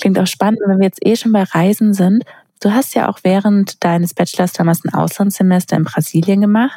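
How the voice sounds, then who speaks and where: In a dry, close sound with no echo, a woman with an unremarkable speaking voice talks at medium pitch and a fairly quick pace, her intonation fairly even and her loudness very even. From Baden-Württemberg, Sindelfingen near Stuttgart. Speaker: university podcast host. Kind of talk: interview.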